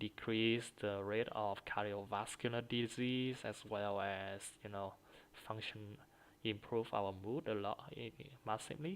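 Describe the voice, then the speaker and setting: The speaker talks at a fairly slow pace in a Vietnamese accent. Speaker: student practicing for exam. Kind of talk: exam speaking practice. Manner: halting, many fillers and repetitions.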